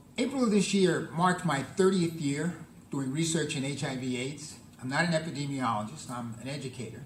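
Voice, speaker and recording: A man's fairly high voice with ordinary pitch variation, noticeable background noise and audible room echo. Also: fairly quick pace. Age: 70s. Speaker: public health professor. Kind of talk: lecture. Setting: conference room with audience.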